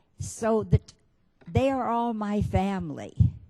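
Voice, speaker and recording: Very wide swings in pitch mark the woman's speech. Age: 80s+. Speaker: documentary filmmaker. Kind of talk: speech to an audience.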